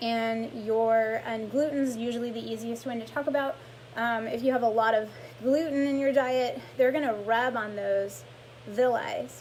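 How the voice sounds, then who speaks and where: A fairly high-pitched woman at a moderate pace, fairly even in intonation, with audible room echo and noticeable background noise. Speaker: lymphatic massage therapist. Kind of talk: live-stream health talk. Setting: live social media video stream.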